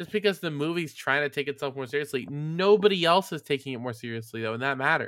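A man talks at a very fast pace with hardly any pauses, in a fairly high pitch and an animated tone with lively intonation. The recording is very clean, with a silent background. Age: 20s. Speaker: podcast host. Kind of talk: casual chat.

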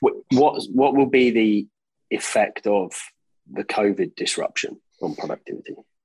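A man with an Australian accent speaks at a moderate pace, the sound dry and close with no echo. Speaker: podcast host and infrastructure body chief executive.

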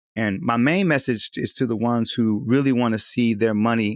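Against a quiet background, a man in an ordinary speaking voice talks at a medium pitch and a fairly quick pace, the sound dry and close with no echo. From Southern California. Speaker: community health worker. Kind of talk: panel discussion.

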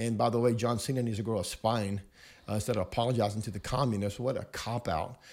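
Talking at a very fast pace, a man holds a medium pitch and fairly even intonation. The recording is very clean, with a silent background. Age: 50s. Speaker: pastor. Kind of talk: casual chat. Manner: hesitant, many fillers.

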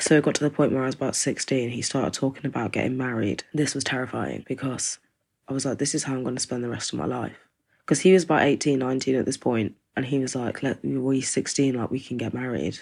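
A woman's very deep, low voice with an East Midlands accent and vocal fry, fairly even intonation at a fairly quick pace, on a very clean recording with a silent background. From East Midlands, England (small rural town). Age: 20s. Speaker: domestic abuse survivor. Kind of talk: personal testimony. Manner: casual, conversational.

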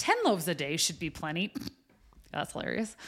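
A woman speaks very fast at a fairly low pitch. The recording is very clean with a silent background. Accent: American. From US West (Wyoming). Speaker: coffee house owner and life coach. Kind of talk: casual chat.

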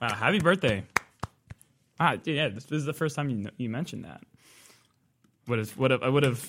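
This man's voice sits at a medium pitch, and its pitch varies in an ordinary way. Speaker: college radio host. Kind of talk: casual chat. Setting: studio.

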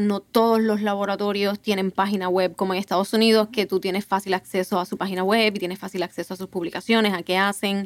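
The sound is dry and close, with no echo. A woman of medium pitch speaks with monotone, flat intonation. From Puerto Rico, Ponce. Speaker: PhD student in neuroscience. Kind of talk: casual panel conversation.

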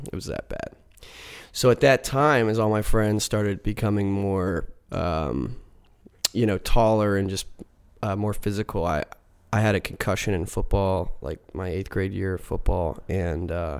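Speaking at a moderate pace in a normal speaking voice, a man with an American accent has a fairly low pitch and ordinary pitch variation. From Philadelphia area, US. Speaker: folk rock musician. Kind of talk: casual interview chat. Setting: studio.

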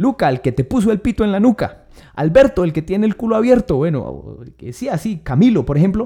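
A man talks at a very fast pace in a high voice with a dark, mellow tone and very wide pitch swings. The recording is very clean with a silent background. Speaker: comedian. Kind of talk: stand-up.

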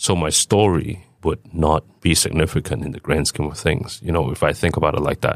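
On a very clean recording with a silent background and a dry, close sound with no echo, a man with vocal fry and a very deep, low pitch talks at a moderate pace with hardly any pauses and ordinary pitch variation. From Hong Kong, with high school in Vancouver. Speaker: restaurant founder, former doctor. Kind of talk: interview.

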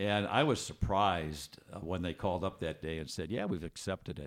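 A man's very deep, low voice with vocal fry and an American accent, at a fairly quick pace on a very clean recording with a silent background. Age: 70s. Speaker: author and former salesman. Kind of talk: casual interview.

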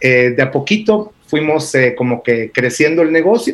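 This man speaks with a Guatemalan accent. His pitch variation is ordinary. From Argentina, then Israel from age 11. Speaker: entrepreneur, travel company founder. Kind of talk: radio interview.

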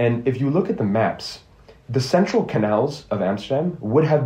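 A man with an American accent, a dark, mellow tone, a somewhat breathy quality and a moderate pace, with audible room echo. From Geneva, Switzerland (earlier years in Ohio). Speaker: university student, podcast panelist. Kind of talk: casual panel discussion.

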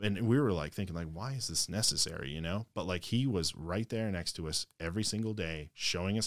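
With an American accent, a man talks at a very fast pace in a very deep, low pitch with ordinary pitch variation. The recording is very clean, with a silent background. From Michigan. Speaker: tech community executive, military veteran. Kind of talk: casual interview.

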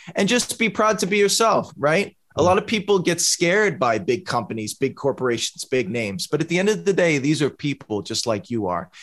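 A high-pitched man with an American accent talks with hardly any pauses and very wide pitch swings. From Boston. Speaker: music producer and entrepreneur. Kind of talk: podcast interview.

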